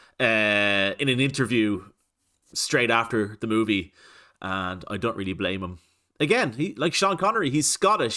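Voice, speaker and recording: On a very clean recording with a silent background, a man with an Irish accent speaks at a moderate pace in a bright, sharp tone. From Ireland. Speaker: reaction video youtuber. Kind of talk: casual commentary.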